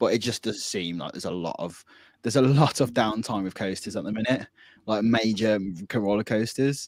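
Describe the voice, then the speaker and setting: Mumbling at a fairly quick pace, a man with a Birmingham accent speaks at a fairly low pitch with ordinary pitch variation on a very clean recording with a silent background. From Birmingham, England. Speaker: podcast co-host. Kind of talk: casual chat. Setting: live-streamed podcast.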